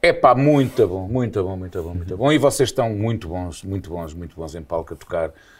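Very deep and low, this man's somewhat breathy voice moves at a moderate pace with lively intonation and big swings in loudness. The recording is very clean, with a silent background. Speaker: radio presenter. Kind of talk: casual chat.

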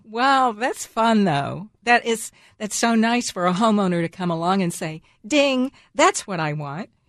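A woman with an American accent has an ordinary speaking voice at a medium pitch. Her intonation is lively and her pace fairly slow. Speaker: radio host. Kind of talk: radio interview, gardening show. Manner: friendly, laughs often.

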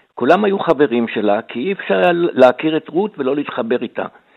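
Very wide pitch swings mark a man's voice, delivered at a moderate pace. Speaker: historian and author. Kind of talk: radio interview.

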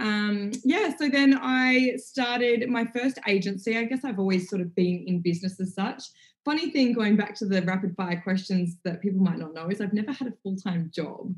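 A woman's somewhat breathy voice at a medium pitch, moderate pace and lively intonation. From country Victoria, Australia. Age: 30s. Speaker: entrepreneur and lifestyle influencer. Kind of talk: podcast interview.

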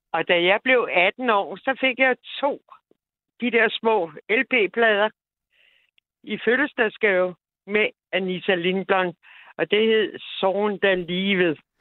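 Speaking very slowly with long, frequent pauses, a woman uses a medium-pitched voice. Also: ordinary pitch variation. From Denmark, Copenhagen area. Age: 70s. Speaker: caller. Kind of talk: casual chat. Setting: phone call.

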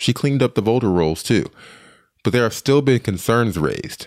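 A man in a normal speaking voice at a fairly quick pace, in a very clean recording with a silent background. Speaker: podcast host. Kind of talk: news podcast narration and interviewing.

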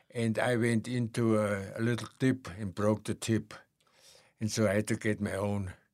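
On a very clean recording with a silent background, a man with a German accent speaks at a moderate pace in a fairly low pitch with monotone, flat intonation. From Germany. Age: 80s. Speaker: retired ski instructor. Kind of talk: interview.

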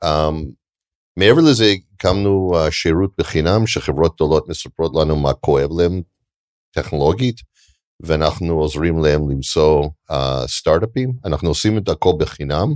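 At a moderate pace and with an English accent, the speaker uses ordinary pitch variation and long, frequent pauses, the sound dry and close with no echo on a very clean recording against a silent background. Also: man, very deep, low pitch for a man. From Canada. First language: English (speaking Hebrew). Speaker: venture capital investor. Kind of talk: onstage interview.

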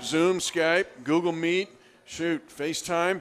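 This man has an unremarkable speaking voice, pitched fairly high. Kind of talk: radio DJ patter: live-event sports radio show hosting with sponsor reads. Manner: smooth, rapid-fire, promo-reading rhythm that teases what comes next.

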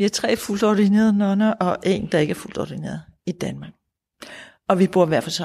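With vocal fry and a dark, mellow tone, a woman speaks at a medium pitch and moderate pace with ordinary pitch variation. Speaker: Buddhist nun and centre leader. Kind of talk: interview. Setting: Buddhist centre.

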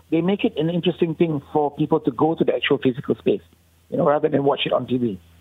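Speaking at a very fast pace, a man uses ordinary pitch variation. His pitch is fairly high. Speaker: festival director. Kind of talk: radio interview.

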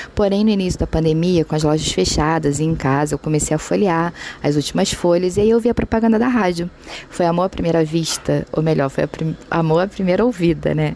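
Over noticeable background noise, a woman speaks at a fairly low pitch with very even loudness. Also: ordinary pitch variation, fairly quick pace. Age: 40s. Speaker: reality show participant, listener. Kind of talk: recorded testimony.

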